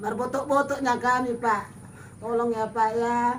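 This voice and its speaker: A woman's fairly high, monotone voice at a fairly slow pace, flat in intonation, with audible room echo. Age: 60s. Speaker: grandmother in need. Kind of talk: emotional plea.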